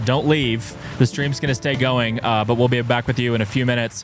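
A man at a fairly quick pace with fairly even intonation, dry sound with no echo, and clear music in the background. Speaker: live stream host. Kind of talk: casual live stream update. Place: tent. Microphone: studio mic.

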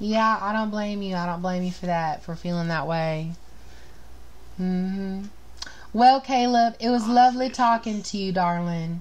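A woman has an ordinary speaking voice in an American accent. She talks at a medium pitch and a moderate pace. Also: ordinary pitch variation. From US South, Florida Panhandle. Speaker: podcast host. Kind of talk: casual chat. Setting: livestream video chat.

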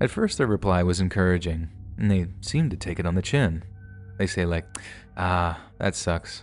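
Music plays in the background as a man speaks with a very deep, low pitch. His tone is dramatic and his pace is moderate. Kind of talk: scripted first-person horror narration of true-crime stories. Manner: tense, hushed, suspenseful storytelling with dramatic pauses; conversational and confessional, building dread.

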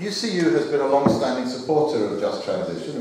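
A man is speaking here. Strong room echo and noticeable background noise fill the recording. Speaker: speaker. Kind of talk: conference speech. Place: hall. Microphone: handheld.

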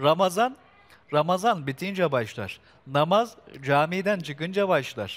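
A man speaks in a high pitch at a fairly slow pace. His intonation is lively. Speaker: TV host. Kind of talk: live TV presenting. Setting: outdoors. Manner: formal. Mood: warm, reflective.

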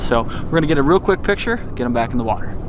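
Over noticeable background noise, a man speaks at a very fast pace, the sound dry with no echo. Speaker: fishing vlogger. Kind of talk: casual vlog chat. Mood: excited, upbeat. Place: boat.

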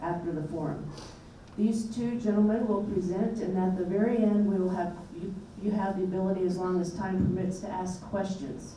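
A woman's fairly even intonation comes through with light background noise and audible room echo. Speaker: host. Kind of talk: event introduction speech. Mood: light, humorous.

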